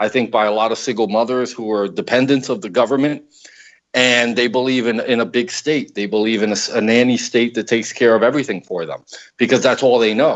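This is a normal speaking voice with an American accent. It moves at a fairly quick pace with ordinary pitch variation. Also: man, medium pitch for a man. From Paterson, New Jersey, US. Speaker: political columnist. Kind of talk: casual political talk show discussion.

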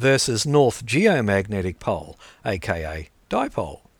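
With an Australian accent and vocal fry, a man swings his pitch very widely in a very clean recording with a silent background. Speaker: podcast host. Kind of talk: reading aloud.

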